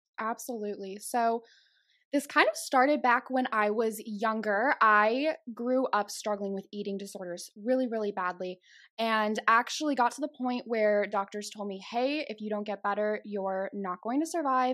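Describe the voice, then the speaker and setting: In a very clean recording with a silent background, a woman with an American accent talks at a moderate pace in a fairly high, animated voice, her pitch varying in an ordinary way while her loudness swings widely. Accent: slight Chicago accent, comes out at times. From Chicago, US Midwest. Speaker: podcast host and guest. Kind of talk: casual chat. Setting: video recording.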